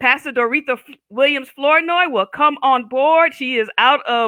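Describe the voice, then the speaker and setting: A woman projects a raised voice at a high pitch, bright and sharp in tone and animated, at a fairly slow pace. The sound is dry and close with no echo, on a very clean recording with a silent background. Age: 50s. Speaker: talk show host. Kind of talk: casual interview chat.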